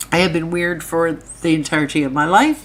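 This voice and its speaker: At a moderate pace, a woman speaks with a fairly low pitch over noticeable background noise. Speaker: true crime YouTuber. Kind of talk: live stream commentary. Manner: casual, rambling.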